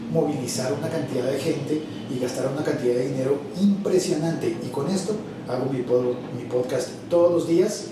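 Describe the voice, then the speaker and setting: A man speaks at a fairly high pitch with ordinary pitch variation and long, frequent pauses, with noticeable background noise behind him. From Colombia. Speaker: radio announcer and voice-over artist; podcaster. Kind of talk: interview answer.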